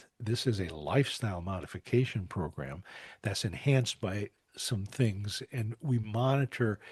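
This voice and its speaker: Against a quiet background, a man speaks fairly low and somewhat breathy with lively intonation. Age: 70s. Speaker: doctor and program founder. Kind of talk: interview. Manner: halting.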